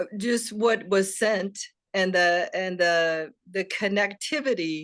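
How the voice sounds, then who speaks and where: A woman talks at a very slow pace, her pitch varying in an ordinary way. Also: medium pitch for a woman. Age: 60s. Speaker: book club attendee in twelve-step recovery. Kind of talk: casual chat. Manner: halting.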